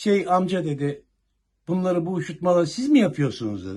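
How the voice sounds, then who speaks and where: A man talks at a fairly quick pace with a dark, mellow tone. His voice is somewhat breathy, and the background is quiet. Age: 60s. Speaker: retired police officer. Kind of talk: news interview.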